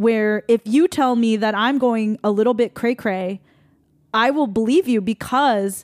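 An ordinary speaking voice comes at a moderate pace with ordinary pitch variation, the recording very clean with a silent background and a dry, close sound without echo. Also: woman. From Taiwanese American. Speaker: singer-songwriter and podcast host. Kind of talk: casual chat.

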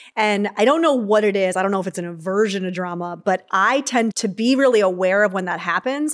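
Using a plain, everyday voice at medium pitch, a woman speaks at a fairly quick pace with hardly any pauses and ordinary pitch variation. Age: 30s. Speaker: psychologist and author. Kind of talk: casual chat. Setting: in-person studio conversation.

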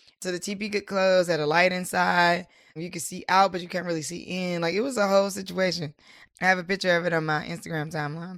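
On a very clean recording with a silent background, a woman with an American accent and a fairly low pitch speaks at a very fast pace, with fairly even intonation and big swings in loudness. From US South, Durham, North Carolina. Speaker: entrepreneur, nonprofit founder. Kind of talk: interview.

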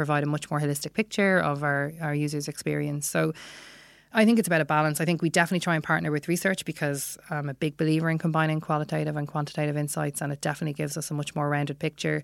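A woman with a Dublin accent talks at a very fast pace in a very deep, low voice. Her intonation is fairly even, and the recording is very clean with a silent background. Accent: Irish (Dublin). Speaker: product analytics manager. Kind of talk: interview. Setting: studio.

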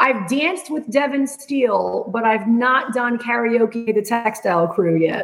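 Speaking at a fairly slow pace with hardly any pauses, a woman with a Rhode Island accent uses lively intonation at a fairly high pitch. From US Northeast, Rhode Island. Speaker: entrepreneur. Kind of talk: interview. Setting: remote call.

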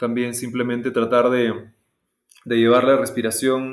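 A man at a medium pitch and a moderate pace. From Peru, Cusco. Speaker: movement coach and school co-founder. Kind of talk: casual interview conversation. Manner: hesitant, many fillers and repetitions.

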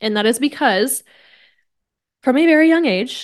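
A woman with a Midwestern US accent speaks at a moderate pace with lively intonation, against a quiet background. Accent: General American, Midwestern. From Kansas, US Midwest. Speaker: podcast host, wellness coach. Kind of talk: solo podcast monologue. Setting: at home desk. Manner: casual, animated.

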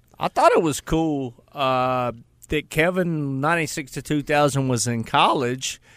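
In a very clean recording with a silent background, a man with a plain, everyday voice talks at a fairly slow pace, his pitch fairly high and his intonation fairly even. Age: 40s. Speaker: radio host. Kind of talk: casual chat. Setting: studio. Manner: joking.

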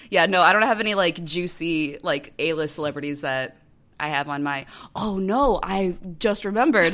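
At a moderate pace, a woman speaks with a normal speaking voice, fairly low in pitch, with lively intonation, on a very clean recording with a silent background. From US Midwest, Wisconsin. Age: 30s. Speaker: writer. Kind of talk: casual chat.

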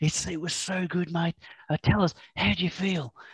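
A put-on character voice whispers with a raspy edge in a New Zealand accent. The pace is moderate. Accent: Kiwi. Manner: whispering.

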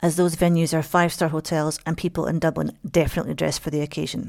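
A woman with a Scottish accent talks very fast in a fairly low voice with vocal fry and fairly even intonation, on a very clean recording with a silent background. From Scotland. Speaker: local guide, writer. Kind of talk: travel monologue.

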